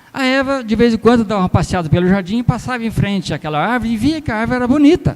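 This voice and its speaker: With lively intonation, a man speaks at a very fast pace in an extremely high pitch. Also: hardly any pauses. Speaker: lay preacher. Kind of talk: sermon. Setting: church.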